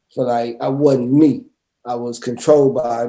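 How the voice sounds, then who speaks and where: This man has a dark, mellow tone at a medium pitch. His intonation is monotone and flat. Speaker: talk show guest. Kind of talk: casual chat. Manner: halting, repeats words.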